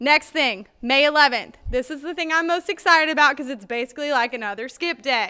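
A woman speaks in a raised, projected voice with a bright, sharp tone. Her pace is fairly quick, her pitch varies in an ordinary way, and the background is quiet. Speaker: school staff announcer. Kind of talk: school announcements. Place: hall. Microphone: studio mic.

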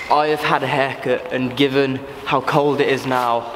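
A man speaks with monotone, flat intonation. Noticeable background noise sits behind him. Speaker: urban explorer vlogger. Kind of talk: casual vlog chat. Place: factory. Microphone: phone near.

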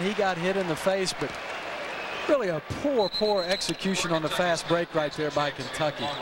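Moderate pace, a dry sound with no echo and loud background noise. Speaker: color commentator, analyst. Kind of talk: live sports commentary, analysis.

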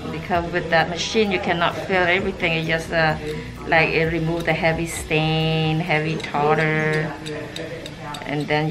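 Over clear background music, a woman speaks at a fairly slow pace. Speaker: dental hygienist. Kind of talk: explaining a dental cleaning to patient. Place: office.

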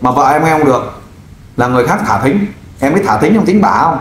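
With audible room echo and light background noise, a man talks at a very fast pace. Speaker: volunteer crime-fighting group leader helping find missing wife. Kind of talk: interview, questioning a man about his missing wife. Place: studio.

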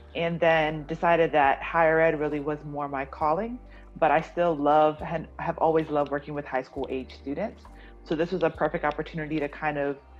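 A woman speaks at a fairly quick pace with a very deep, low pitch. Faint music plays in the background. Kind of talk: interview answer. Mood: warm, positive. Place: home room. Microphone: video call.

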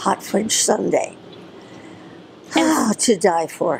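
Noticeable background noise sits behind a woman who speaks at a very slow pace. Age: 80s+. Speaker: actress and dancer; voice actress. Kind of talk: interview answer. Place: cafe.

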